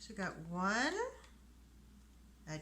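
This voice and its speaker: Audible room echo surrounds a woman speaking in a raised, projected voice. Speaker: soap maker and channel host. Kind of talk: tutorial. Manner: animated.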